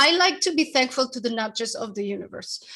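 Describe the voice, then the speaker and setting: A woman talks at a very fast pace with a high pitch and a strong Spanish accent. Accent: heavy Spanish. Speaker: author and branding consultant. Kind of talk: interview. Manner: animated, talks at length.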